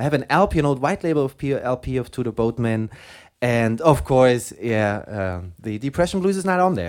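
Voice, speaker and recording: A man's fairly high voice at a moderate pace, full of very wide pitch swings, in a very clean recording with a silent background. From Germany. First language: German. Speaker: radio host. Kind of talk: casual chat.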